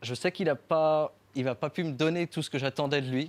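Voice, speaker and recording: This very clean recording with a silent background has a man speaking at a moderate pace. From France, Champagne region (Marne). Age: 20s. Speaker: winemaker and artist. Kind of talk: talk to an audience. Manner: halting, many fillers.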